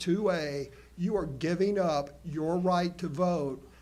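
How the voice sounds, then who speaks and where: Amid noticeable background noise, a man with an American accent and a high pitch speaks at a very slow pace with fairly even intonation. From Oklahoma. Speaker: school board member. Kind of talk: board meeting debate. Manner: halting, many restarts.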